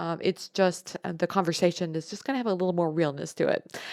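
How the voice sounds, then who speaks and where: Close and dry with no echo, a woman's voice is heard. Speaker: podcast host. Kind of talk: podcast monologue. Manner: casual, conversational.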